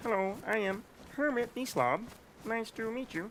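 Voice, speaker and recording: A put-on character voice with fairly high pitch comes through over clear background noise. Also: moderate pace. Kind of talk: playful role-play.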